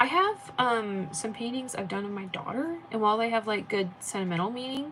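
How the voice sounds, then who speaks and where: A woman with an American accent, a fairly quick pace and lively intonation, plus noticeable background noise. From United States. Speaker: artist streamer. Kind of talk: casual chat. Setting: live stream. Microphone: echo.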